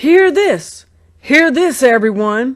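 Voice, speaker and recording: A woman puts on a character voice, speaking high in her range. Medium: read story. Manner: blustering, jealous.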